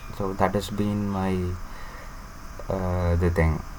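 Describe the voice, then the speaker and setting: At a fairly slow pace, a man speaks in a Tamil Indian accent. Audible room echo and noticeable background noise surround him. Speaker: student vlogger. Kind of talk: personal vlog monologue. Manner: halting, many fillers.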